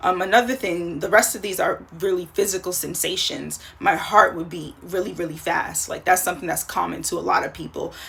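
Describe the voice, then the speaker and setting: A woman at a fairly quick pace with hardly any pauses, amid noticeable background noise. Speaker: life coach. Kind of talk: casual vlog monologue. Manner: fast; halting, many fillers and restarts.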